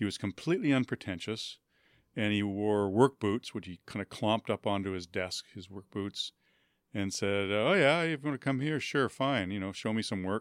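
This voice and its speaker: With a normal speaking voice and a Canadian accent, a man talks at a fairly low pitch with ordinary variation and a moderate pace, in a very clean recording with a silent background and a dry, close sound with no echo. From Winnipeg, Canada. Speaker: author and writing professor. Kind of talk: interview. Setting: studio.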